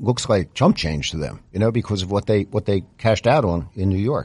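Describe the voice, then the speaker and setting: The man's voice is fairly low, with a dark, mellow tone and lively intonation. The background is quiet. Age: 70s. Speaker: podcast producer and co-host. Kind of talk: casual podcast chat.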